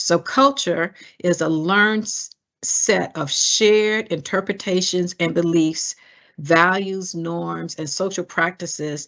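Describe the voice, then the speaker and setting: Speaking fairly slowly in a Southern US accent, a woman has a fairly low pitch and ordinary pitch variation. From US South. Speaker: diversity educator. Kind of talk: webinar presentation. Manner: frequent hesitations.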